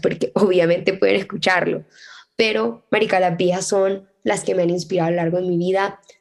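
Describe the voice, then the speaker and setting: Fairly quickly, a woman talks in a medium-pitched voice. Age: 20s. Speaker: podcast host and law student. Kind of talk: casual solo monologue. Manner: fast, chatty.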